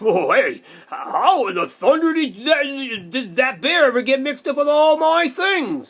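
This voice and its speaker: Someone uses a high-pitched, put-on character voice at a moderate pace. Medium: read story.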